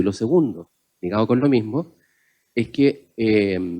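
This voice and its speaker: In a Chilean accent, a man talks with a dark, mellow tone and ordinary pitch variation. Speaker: panelist on open government. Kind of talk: panel discussion talk.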